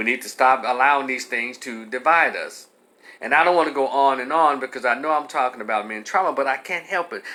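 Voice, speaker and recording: A man talks at a fairly quick pace in a medium pitch, his bright, sharp tone carrying ordinary pitch variation. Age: 50s. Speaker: commentator. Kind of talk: monologue. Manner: animated.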